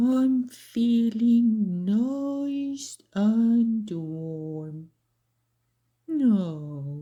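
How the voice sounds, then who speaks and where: Putting on a character voice, a woman sounds gruff and fairly high-pitched. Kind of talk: children's storybook. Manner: roaring, gruff.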